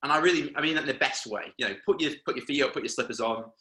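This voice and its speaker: A man's fairly high voice has a bright, sharp tone and very wide pitch swings. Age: 20s. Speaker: advertising agency director. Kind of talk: webinar presentation. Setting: video call. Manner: fast.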